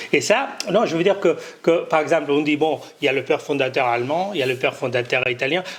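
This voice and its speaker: A man talking very fast at a fairly high pitch, with ordinary pitch variation and noticeable background noise. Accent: Catalan. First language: Catalan (speaking French). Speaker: conference panelist. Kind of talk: conference closing remarks. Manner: halting, many hesitations and repetitions.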